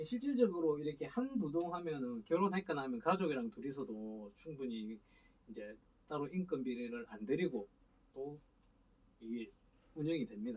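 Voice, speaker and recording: A man speaks at a fairly high pitch and moderate pace, with very wide pitch swings. He leaves long, frequent pauses. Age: 40s. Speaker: sprout ginseng farmer. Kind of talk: casual interview chat.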